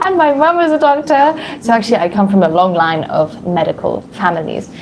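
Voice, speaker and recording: A woman with a southern British accent, medium pitch and very wide pitch swings, very even loudness, a fairly quick pace, and noticeable background noise. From England. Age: 20s. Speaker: English conversation partner. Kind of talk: casual conversation practice.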